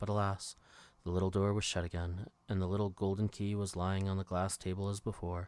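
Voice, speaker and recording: Calm and monotone with flat intonation, a fairly low-pitched man speaks at a fairly quick pace with very even loudness on a very clean recording with a silent background. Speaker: bedtime story narrator. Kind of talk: bedtime story reading. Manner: calm, relaxing.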